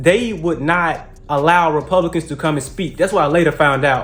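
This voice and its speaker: A man with a Southern US accent, fairly high in pitch, with ordinary pitch variation and a moderate pace. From US South (Mississippi). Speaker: political commentary youtuber. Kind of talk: casual vlog monologue. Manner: halting, many fillers.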